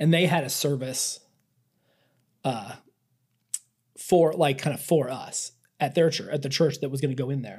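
A man's fairly high, somewhat breathy voice at a moderate pace, broken by long, frequent pauses. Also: ordinary pitch variation. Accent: American. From central Iowa, US Midwest. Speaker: churchgoer. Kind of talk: interview.

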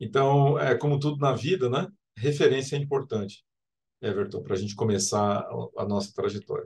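A man talks at a fairly quick pace, his voice somewhat breathy. His pitch is fairly high, and his intonation is lively. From Brazil, Mato Grosso do Sul (Campo Grande). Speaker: civil engineering professor. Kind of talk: interview.

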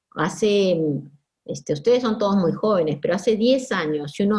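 Somewhat breathy and medium in pitch, a woman speaks with lively intonation. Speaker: sociologist. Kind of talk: interview.

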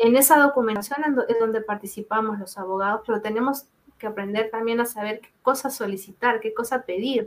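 An unremarkable speaking voice at a fairly quick pace, with fairly even intonation and big swings in loudness. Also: woman, fairly high pitch for a woman. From Peru. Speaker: data protection lawyer. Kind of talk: expert interview.

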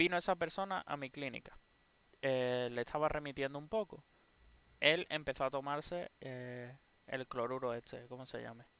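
The sound is dry and close with no echo as a man with a fairly high, bright, sharp voice speaks at a moderate pace, his loudness swinging widely and his pitch varying in an ordinary way. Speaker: podcast co-host. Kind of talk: casual chat. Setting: live stream.

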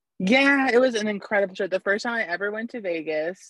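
This woman's voice shows ordinary pitch variation. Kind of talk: casual chat. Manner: animated.

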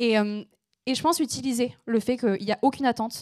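On a very clean recording with a silent background and a dry, close sound with no echo, a woman with a slight southern French accent speaks with ordinary pitch variation. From southern France, between Aix and Marseille. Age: 20s. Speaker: environmental journalist and activist. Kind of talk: panel discussion on stage. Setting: stage with audience.

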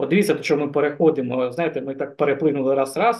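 Pitch varying in an ordinary way, a man races along at a very fast pace. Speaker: podcast host. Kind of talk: casual chat.

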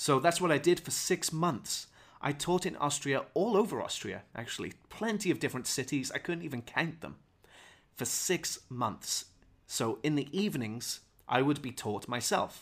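On a very clean recording with a silent background, a man with a Welsh accent speaks at a moderate pace with lively intonation and a fairly high pitch. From Wales. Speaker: English teacher. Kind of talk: unscripted podcast monologue. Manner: clear, teacherly.

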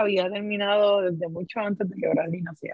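The voice belongs to a woman. It stays at a middle pitch. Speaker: podcast host. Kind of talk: casual chat.

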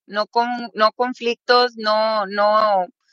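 In a dry, close recording with no echo, a woman with a Mexican accent talks at a fairly high pitch with a bright, sharp tone. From Mexico, State of Mexico. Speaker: political commentator. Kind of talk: casual interview.

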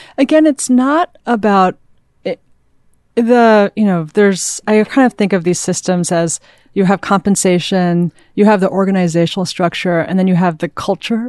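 Against a quiet background, a woman with a normal speaking voice talks at a moderate pace and a medium pitch with ordinary pitch variation. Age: 30s. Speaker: venture capitalist. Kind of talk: casual interview chat.

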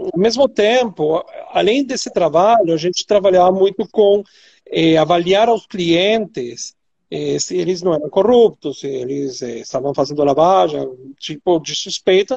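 Speaking with a Venezuelan accent, a man uses a high pitch and lively intonation. His pace is fairly slow. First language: Spanish (speaking Portuguese). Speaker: compliance executive, ESG expert. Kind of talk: expert interview. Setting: online live stream.

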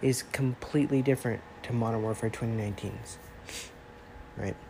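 A man speaks at a moderate pace with ordinary pitch variation. His voice is nasal, with a dark, mellow tone.

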